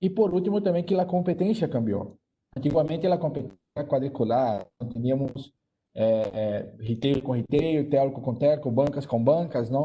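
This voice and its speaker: A man's somewhat breathy, fairly high voice with a Brazilian accent, lively intonation and a moderate pace. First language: Portuguese (speaking Spanish). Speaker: banking digital transformation executive. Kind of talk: panel discussion.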